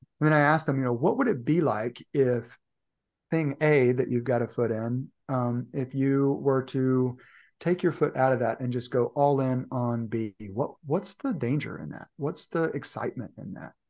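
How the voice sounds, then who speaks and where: An unremarkable speaking voice from a man, at a moderate pace with ordinary pitch variation, over a quiet background. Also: medium pitch for a man. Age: 40s. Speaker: leadership and performance coach. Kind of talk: casual chat.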